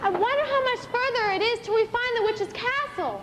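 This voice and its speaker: A put-on character voice, squeaky and pitched extremely high, moving at a fairly quick pace. Loud background noise runs underneath it. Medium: stage play. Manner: cheerful, brisk.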